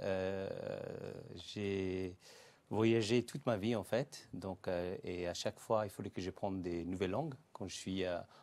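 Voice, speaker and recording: On a very clean recording with a silent background, a man speaks at a fairly slow pace in a fairly low pitch with ordinary pitch variation. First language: Greek (speaking French). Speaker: entrepreneur, language school founder. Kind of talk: interview. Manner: hesitant, many filler sounds.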